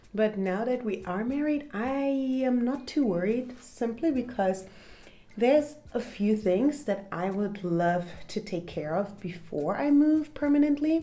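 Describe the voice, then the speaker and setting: In a German accent, a woman with a dark, mellow tone and a fairly high pitch speaks at a fairly slow pace with lively intonation. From Germany. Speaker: content creator. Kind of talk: casual chat. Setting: at home.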